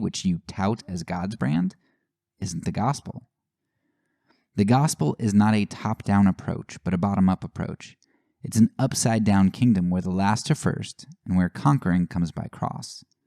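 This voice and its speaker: A man with an American accent talks at a moderate pace in a fairly low, dark, mellow voice with ordinary pitch variation. The sound is dry and close, with no echo. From Pennsylvania, Lancaster/Lebanon County. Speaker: podcast host. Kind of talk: scripted intro; interview.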